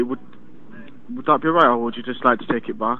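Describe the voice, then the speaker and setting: A man with an English Midlands accent speaks at medium pitch, the sound dry with no echo but with noticeable background noise. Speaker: customer service agent. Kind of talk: customer service call. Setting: phone call. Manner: halting. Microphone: phone line.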